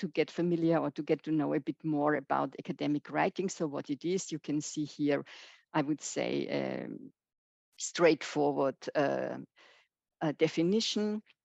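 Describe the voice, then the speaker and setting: In a German accent, a woman speaks at a fairly slow pace with a very deep, low pitch, and the sound is dry and close with no echo. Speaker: professor. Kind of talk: lecture. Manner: halting, many fillers.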